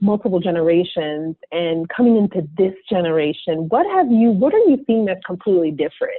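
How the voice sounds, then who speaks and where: A woman speaks with a plain, everyday voice. Her pace is moderate and her intonation lively. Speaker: podcast host. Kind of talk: interview question.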